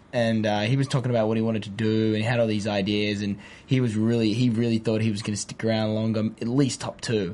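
Talking very fast with hardly any pauses, a man with an Australian accent delivers a monotone, flat intonation in a dark, mellow tone. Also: medium pitch for a man. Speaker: TV host. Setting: studio.

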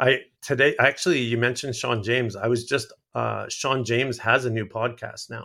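A man speaks with vocal fry, a bright, sharp tone and fairly even intonation. The recording is very clean, with a silent background. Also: medium pitch for a man, moderate pace. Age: 50s. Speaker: outdoorsman and content creator. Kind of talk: casual interview chat.

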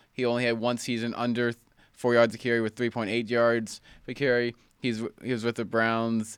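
A man of medium pitch at a fairly quick pace, monotone and flat in intonation, in a very clean recording with a silent background. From Tennessee. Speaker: podcast co-host.

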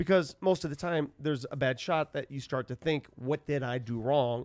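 A man with a normal speaking voice talks at a moderate pace with lively intonation and a fairly high pitch, the sound dry and close with no echo. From Denver, Colorado. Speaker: sports broadcaster. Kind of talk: casual chat. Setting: studio.

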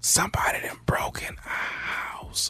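Whispering in a put-on character voice, the speaker goes at a fairly slow pace. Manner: whispering, urgent.

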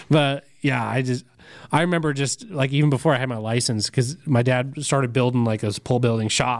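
An ordinary speaking voice with an American accent. The pace is fairly quick and the intonation fairly even. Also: man, medium pitch for a man. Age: 30s. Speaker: diesel podcast co-host. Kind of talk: casual chat.

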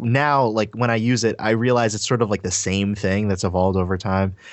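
A man talks at a fairly quick pace with a fairly low pitch and ordinary pitch variation. It is an ordinary speaking voice. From Trinidad, then US. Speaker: designer and YouTuber. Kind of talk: casual interview chat.

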